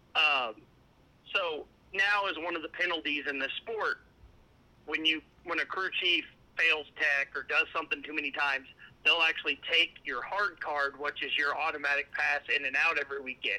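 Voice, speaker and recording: A man talks at a moderate pace with fairly high pitch. His tone is bright and sharp, with ordinary pitch variation. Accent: Southern US. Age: 30s. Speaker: motorsport crew chief. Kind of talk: interview.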